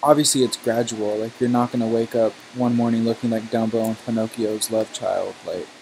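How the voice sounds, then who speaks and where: Against music in the background, a man of medium pitch talks fairly quickly in a monotone, flat delivery. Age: 20s. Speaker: gaming streamer. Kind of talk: casual chat. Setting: live stream, webcam off. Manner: chatty, filler-heavy.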